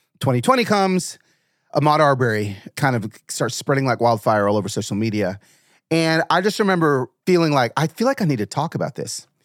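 An animated voice with an American accent swings very widely in pitch at a fairly quick pace. The recording is very clean, with a silent background and a dry, close sound with no echo. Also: man, fairly high pitch for a man. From Atlanta, US South. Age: 40s. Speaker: author and speaker. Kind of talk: casual chat.

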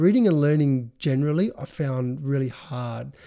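In an Australian accent, a man speaks with a fairly high pitch and a dark, mellow tone. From Adelaide, South Australia. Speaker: design business founder. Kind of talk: casual interview.

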